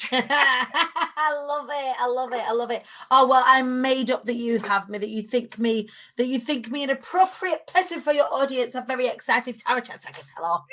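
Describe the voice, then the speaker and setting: In a Lancashire accent, a woman speaks in a raised, projected voice at a high pitch, her tone bright and sharp with ordinary pitch variation. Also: moderate pace, big swings in loudness. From northern England, Preston, Lancashire. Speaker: motivational speaker. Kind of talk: casual chat.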